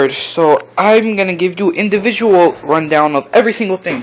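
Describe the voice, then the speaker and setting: A man's lively intonation carries at a moderate pace over noticeable background noise. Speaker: amateur gear reviewer. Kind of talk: product review. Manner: halting, many fillers.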